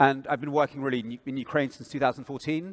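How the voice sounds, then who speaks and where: On a very clean recording with a silent background, a man with a British accent sounds dry and close, with no echo. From England. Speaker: propaganda researcher. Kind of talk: panel discussion.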